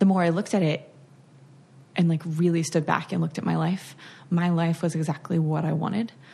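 Her voice is fairly low in pitch, with a dark, mellow tone, ordinary pitch variation and a somewhat breathy quality. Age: 30s. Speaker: letterpress shop owner. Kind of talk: casual chat.

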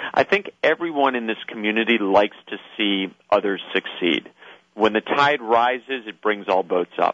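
This man has a normal speaking voice, a fairly low pitch, ordinary pitch variation and a moderate pace. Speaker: inventor-community expert, conference speaker. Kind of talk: phone interview, explanatory talk. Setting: phone call.

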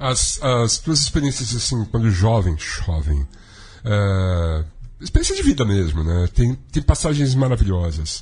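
A man at medium pitch, somewhat breathy, with very wide pitch swings and a fairly slow pace. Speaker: radio show host and musician. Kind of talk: casual talk show chat. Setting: studio.

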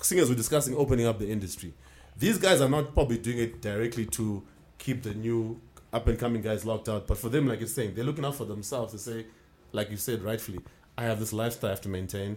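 At a very fast pace, a man speaks with a medium pitch and ordinary pitch variation. His voice is somewhat breathy. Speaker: podcast host. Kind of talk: casual chat. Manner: animated.

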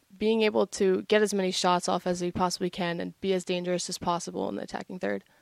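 A woman's medium-pitched, a normal speaking voice with an American accent, fairly even intonation and fairly quick pace, dry and close with no echo on a very clean recording with a silent background. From New Jersey, US. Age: 20s. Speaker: college soccer player, nursing student. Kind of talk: casual interview.

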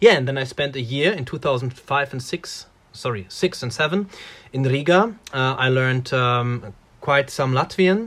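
A man talks at a moderate pace and medium pitch. His intonation is lively. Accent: German. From Germany, Ruhr area. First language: German. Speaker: musician. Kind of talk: casual interview.

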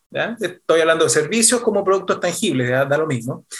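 A man talks with pitch that swings very widely up and down. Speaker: podcast co-host, business founder. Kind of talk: interview conversation. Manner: halting, repeats words.

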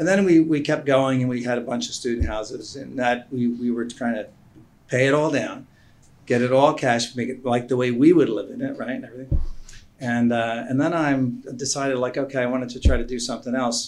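A man with an unremarkable speaking voice speaks in an American accent at a fairly quick pace. His medium pitch holds fairly even intonation. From Philadelphia. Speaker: IT business owner and investor. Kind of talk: casual chat.

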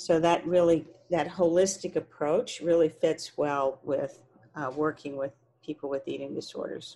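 A woman speaks with an American accent. Her tone is dark and mellow, and her intonation is fairly even. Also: moderate pace. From Texas. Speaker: therapist specializing in eating disorders. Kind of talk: interview.

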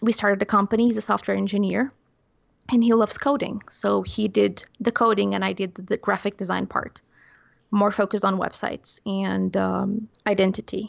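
This speaker has a Portuguese accent. The pace is fairly quick. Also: woman. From Portugal. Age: 20s. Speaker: illustrator and podcast producer. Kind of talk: casual chat. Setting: video call.

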